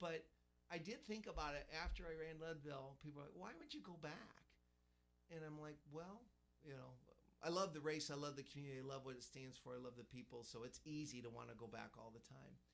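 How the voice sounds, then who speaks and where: At a fairly quick pace, this is a plain, everyday voice with ordinary pitch variation. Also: man, fairly high pitch for a man. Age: 50s. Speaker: ultramarathon runner. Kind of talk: radio interview.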